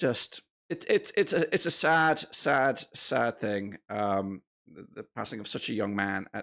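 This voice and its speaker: Over a quiet background, a man's voice moves through very wide pitch swings. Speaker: football fan streamer. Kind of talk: casual live stream chat. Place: home room. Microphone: studio mic.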